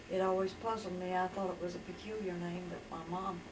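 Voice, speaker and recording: A woman with an Appalachian accent, medium in pitch and fairly quick, with noticeable background noise and audible room echo. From West Virginia. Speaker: storyteller recounting her life. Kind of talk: life story testimony.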